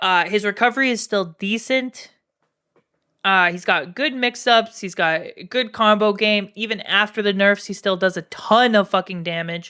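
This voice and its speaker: With a Canadian accent, a woman talks in a bright, sharp tone on a very clean recording with a silent background. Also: medium pitch for a woman, ordinary pitch variation, moderate pace. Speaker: streamer and fighting game player. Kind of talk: live-stream commentary on a tier list. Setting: live stream. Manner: animated, emphatic.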